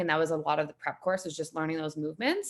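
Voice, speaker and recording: A woman speaks at a fairly low pitch with a Canadian accent. Background noise is noticeable. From Canada, Saskatchewan (Saskatoon). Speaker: gym member, digital marketer. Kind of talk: casual interview. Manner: casual.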